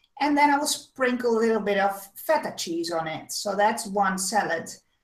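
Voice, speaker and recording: At a moderate pace, a woman with a medium-pitched voice speaks with lively intonation, and the room echo is audible. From Netherlands, Amsterdam. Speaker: web show host with chronic illness. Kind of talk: casual chat.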